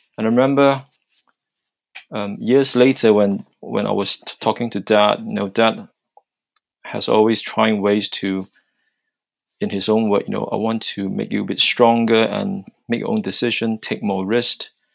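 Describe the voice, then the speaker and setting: Soft-spoken, a man talks with long, frequent pauses. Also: moderate pace. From China. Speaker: guest, NHS consultant and church worship leader. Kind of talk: casual panel discussion.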